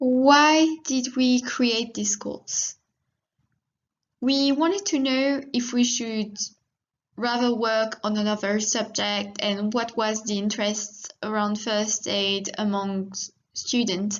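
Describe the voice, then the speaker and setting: Someone with a French accent talks at a very slow pace. Pitch variation is ordinary. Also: woman, fairly high pitch for a woman. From France. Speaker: veterinary student, course moderator. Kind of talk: presentation.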